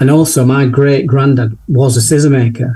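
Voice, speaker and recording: Somewhat breathy, this voice carries a Yorkshire accent and fairly even intonation. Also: man. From Sheffield, northern England. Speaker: portrait photographer. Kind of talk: interview conversation.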